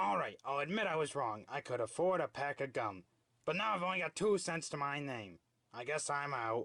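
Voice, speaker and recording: A man puts on a cartoonish character voice at a fairly high pitch. He keeps a moderate pace. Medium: puppet show. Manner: gruff, grumbling.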